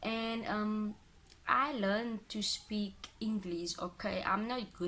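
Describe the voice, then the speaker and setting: A woman speaks with an Afrikaans accent and a bright, sharp tone. Her pitch varies in an ordinary way. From Cape Town, South Africa. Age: 20s. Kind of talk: casual talk to camera. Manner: emotional.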